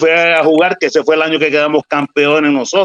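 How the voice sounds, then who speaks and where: A man's fairly high voice, a plain, everyday voice, at a fairly quick pace, in a dry, close sound with no echo. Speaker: former baseball catcher. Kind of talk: casual chat.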